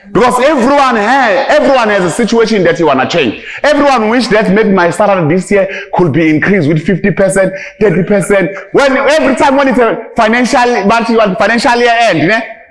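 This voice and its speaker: Against noticeable background noise and audible room echo, a man with a high voice talks at a fairly quick pace in an animated tone, with lively intonation and very even loudness. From South Africa, rural KwaZulu-Natal. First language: Zulu. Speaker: motivational speaker in network marketing. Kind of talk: motivational speech to a live audience. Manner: animated, repetitive.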